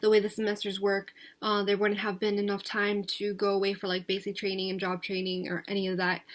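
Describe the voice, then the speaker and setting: On a very clean recording with a silent background, a woman with an American accent speaks at a fairly quick pace in a medium pitch, her intonation monotone and flat. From US Northeast, New Jersey. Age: 20s. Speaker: vlogger. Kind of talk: casual vlog monologue. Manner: hesitant, many filler words; talkative.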